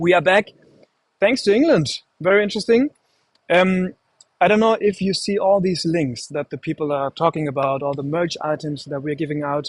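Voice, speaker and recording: At a moderate pace, a man with a German accent and a high pitch speaks with lively intonation, the sound dry and close with no echo. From Germany. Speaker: livestream host. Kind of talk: live stream hosting. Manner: halting, many fillers.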